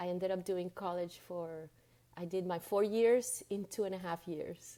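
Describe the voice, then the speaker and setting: In a Spanish accent, a woman speaks with a dark, mellow tone, medium pitch and fairly even intonation. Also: moderate pace. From Venezuela and Dominican Republic, Latin America. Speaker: spiritual guide and coach. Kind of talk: interview. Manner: halting, repeats words.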